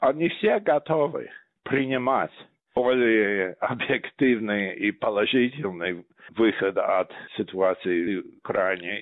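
Very slow delivery comes with lively intonation in an English accent. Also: man. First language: English (speaking Russian). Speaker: historian, think tank head. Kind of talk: interview.

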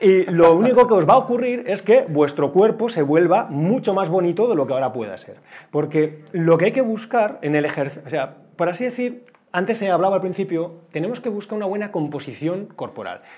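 High-pitched for a man, this speaker moves at a fairly quick pace with lively intonation and a dark, mellow tone. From Spain, Bilbao; Spain. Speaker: wellbeing expert. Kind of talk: talk to a live audience. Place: classroom.

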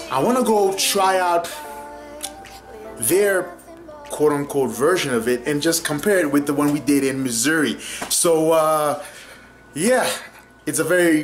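With music in the background, a man speaks at a fairly slow pace with lively intonation and long, frequent pauses. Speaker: vlogger. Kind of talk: casual vlog chat. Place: kitchen. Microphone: phone near.

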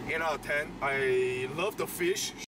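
Loud background noise sits under a dry sound with no echo. The pitch varies in an ordinary way. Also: man. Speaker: food vlogger. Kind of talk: casual vlog chat. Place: car. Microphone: phone near.

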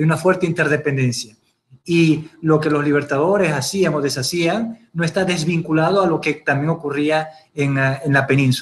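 At a moderate pace, an ordinary speaking voice holds very even loudness and fairly even intonation. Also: man, fairly high pitch for a man. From Venezuela (Ciudad Bolívar); Venezuela. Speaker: audience member asking questions; audience member. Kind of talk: audience question. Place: home room. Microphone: webcam.

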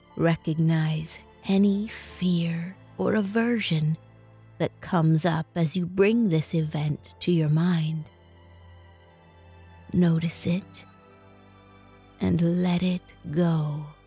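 A woman speaks at a very slow pace with long, frequent pauses, music playing in the background. Her pitch is fairly low, her intonation fairly even and her loudness very even. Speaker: meditation guide. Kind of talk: guided meditation.

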